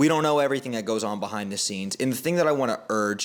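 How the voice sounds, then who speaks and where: A man with a medium-pitched voice and ordinary pitch variation, a normal speaking voice. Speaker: basketball commentator and content creator. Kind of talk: unscripted commentary monologue.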